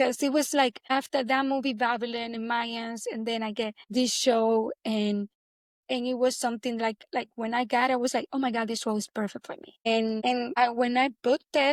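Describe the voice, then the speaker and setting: Dry and close with no echo, a woman's high-pitched voice moves at a moderate pace with fairly even intonation. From Dominican Republic. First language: Spanish. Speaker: actress. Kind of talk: interview.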